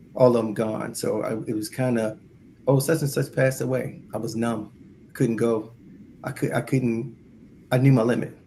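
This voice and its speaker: A man with an American accent, medium pitch, a dark, mellow tone, somewhat breathy delivery, fairly even intonation, a moderate pace and long, frequent pauses. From Baltimore, US. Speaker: bereaved parent sharing experience. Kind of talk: support group call, personal testimony. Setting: call. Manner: halting.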